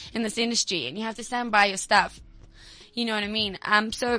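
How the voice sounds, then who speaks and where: A woman's bright, sharp voice at a fairly quick pace against a quiet background. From South Africa, Mpumalanga. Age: 20s. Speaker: singer. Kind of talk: casual interview.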